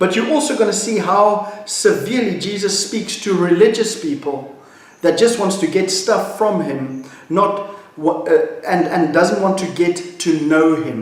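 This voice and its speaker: Over noticeable background noise and audible room echo, a man talks at a fairly slow pace with high pitch and ordinary pitch variation. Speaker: pastor. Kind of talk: devotional talk.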